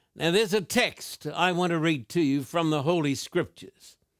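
The man's voice sits high, with ordinary pitch variation. The sound is dry with no echo, against a quiet background. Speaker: preacher hosting a Q&A show. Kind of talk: sermon. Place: studio.

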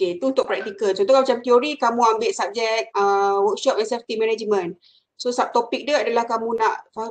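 A woman with a plain, everyday voice speaks at a moderate pace. Her pitch is fairly high. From Malaysia. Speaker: university lecturer. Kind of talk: lecture. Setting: video call. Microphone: video call.

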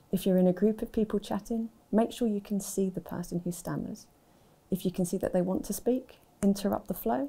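Her voice is dark, mellow and somewhat breathy, and this woman's pitch varies in an ordinary way. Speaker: university staff member who stammers. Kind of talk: personal account and advice talk. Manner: stammer. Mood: calm, informative. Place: studio.

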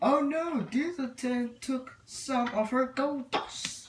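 A female-sounding, put-on character voice pitched high. The delivery is very slow. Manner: cartoon character voice.

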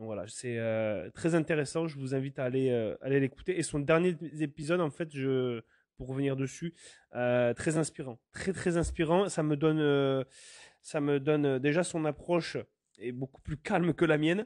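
In a dry, close sound with no echo and a quiet background, a man with a fairly high pitch speaks at a moderate pace with ordinary pitch variation. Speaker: podcast host. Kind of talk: solo monologue podcast. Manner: hesitant, many fillers.

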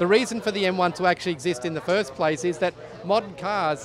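Noticeable background noise sits under a man speaking fairly quickly in a high pitch with ordinary variation, the sound dry with no echo. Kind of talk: interview answer. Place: tent. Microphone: handheld.

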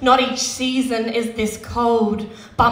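Audible room echo follows a woman's high-pitched voice as she speaks very slowly in a monotone, flat intonation. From Western Australia. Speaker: slam poet. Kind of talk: slam poetry performance. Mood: grave, emotional. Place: stage. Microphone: handheld.

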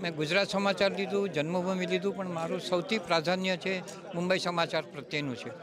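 With crowd noise behind him, a man speaks in a high voice, the sound dry with no echo. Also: fairly even intonation. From India. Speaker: event attendee, Gujarati language promoter; guest, newspaper reader. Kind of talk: vox pop interview. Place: hall. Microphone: handheld.

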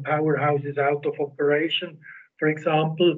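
A man at a moderate pace in a monotone, flat intonation, over a quiet background. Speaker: presenter. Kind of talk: lecture. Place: home room. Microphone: video call.

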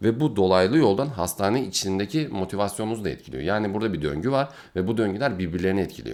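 A man's fairly low voice rushes along at a very fast pace with lively intonation, captured in a very clean recording against a silent background. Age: 20s. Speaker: neurology resident doctor. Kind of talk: video Q&A monologue.

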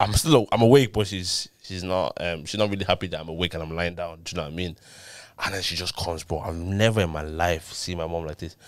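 A man with a very deep, low pitch talks at a very fast pace, his loudness swinging widely and his pitch varying in an ordinary way, in a dry sound with no echo against a quiet background. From Ireland. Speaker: podcast host. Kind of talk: casual banter chat. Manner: informal, slangy. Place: studio. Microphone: studio mic.

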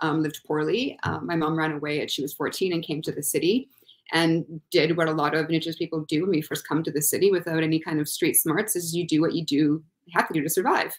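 Over a quiet background, a woman with a Canadian accent and a fairly low pitch talks at a very fast pace. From Thunder Bay, Ontario, Canada; Ontario, Canada. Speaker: university student, panelist; panelist. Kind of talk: online panel discussion. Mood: reflective, thoughtful. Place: home room.

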